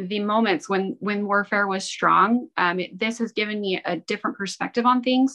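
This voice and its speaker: Against a quiet background, a woman with an American accent speaks in a medium pitch with a bright, sharp tone and ordinary pitch variation, the sound dry and close with no echo. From Utah. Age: 30s. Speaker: guest sharing a religious testimony. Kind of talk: testimony.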